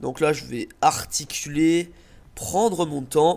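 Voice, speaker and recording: The pitch of this man's voice is fairly high. He talks very slowly. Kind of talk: channel introduction video.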